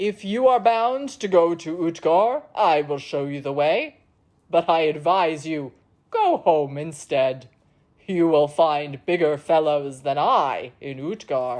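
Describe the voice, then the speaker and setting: A put-on character voice is pitched in the middle range. It moves at a fairly slow pace. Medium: read story. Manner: hearty, leisurely, condescending.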